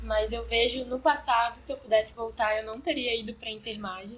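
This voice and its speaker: Speaking at a moderate pace, a woman uses a normal speaking voice at a fairly high pitch. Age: 20s. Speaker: medical student, former nursing student. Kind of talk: interview, personal story.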